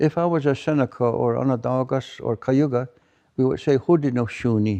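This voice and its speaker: Over a quiet background, a man with a fairly high pitch and a dark, mellow tone talks at a moderate pace with fairly even intonation. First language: Mohawk. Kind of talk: public talk. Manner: halting, with repetitions.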